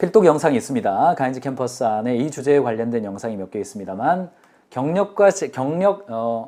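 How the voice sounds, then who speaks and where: A man talks at a fairly quick pace in a dark, mellow tone. His pitch swings very widely. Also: medium pitch for a man. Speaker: business consultant hosting a live lecture. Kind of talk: live-streamed business lecture. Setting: live stream with chat.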